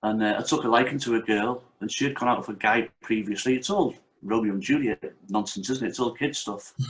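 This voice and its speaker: With a Liverpool accent, a man speaks at a fairly quick pace using ordinary pitch variation. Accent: Liverpool (Scouse) English. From North Wales, Merseyside-born family. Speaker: martial arts instructor and author. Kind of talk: interview.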